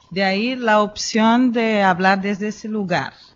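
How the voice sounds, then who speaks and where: A woman speaks with a Brazilian accent. Her pitch varies in an ordinary way. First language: Portuguese (speaking Spanish). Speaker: philosopher and educator. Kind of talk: conference talk. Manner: hesitant, many fillers.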